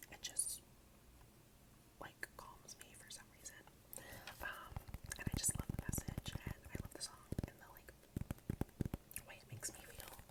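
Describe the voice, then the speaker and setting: A man whispering, with big swings in loudness and long, frequent pauses, over noticeable background noise. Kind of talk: ASMR collection video, casual talk to camera. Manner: whispered, soft-spoken.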